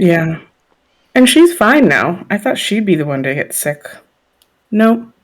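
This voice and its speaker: A woman at a fairly slow pace, with very wide pitch swings and long, frequent pauses. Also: medium pitch for a woman. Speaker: podcast co-host. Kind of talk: casual chat.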